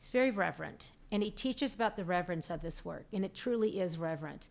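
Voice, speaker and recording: A woman uses a normal speaking voice with lively intonation at a moderate pace, on a very clean recording with a silent background. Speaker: psychic medium. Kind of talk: live stream teaching. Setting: live stream.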